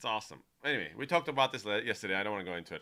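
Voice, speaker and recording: A man's bright, sharp voice with a non-native accent, very wide pitch swings and vocal fry, on a very clean recording with a silent background. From United States. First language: not English. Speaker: streamer. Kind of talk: live stream chat. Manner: animated.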